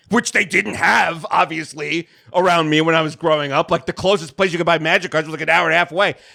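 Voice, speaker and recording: A man speaks with a slight New York accent and ordinary pitch variation. His tone is bright and sharp, the sound dry and close with no echo. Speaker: video game podcast co-host. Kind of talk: casual chat.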